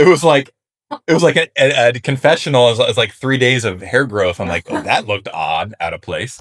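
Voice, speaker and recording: Vocal fry runs through this man's medium-pitched voice. He talks at a fairly quick pace with very wide pitch swings. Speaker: reality show contestant. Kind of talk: casual chat.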